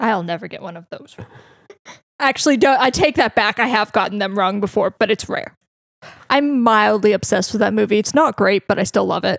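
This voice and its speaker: Fairly high in pitch, a woman with an unremarkable speaking voice talks at a fairly quick pace with ordinary pitch variation and big swings in loudness, sounding dry and close with no echo. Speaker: podcast co-host. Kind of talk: casual chat.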